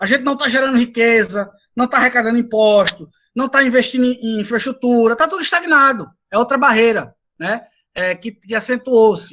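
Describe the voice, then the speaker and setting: Raised and projected, a man's voice sits at an extremely high pitch with a bright, sharp tone and ordinary pitch variation. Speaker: lecturer on renewable energy; engineer, doctorate holder. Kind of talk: lecture. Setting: video call from home balcony. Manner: fast.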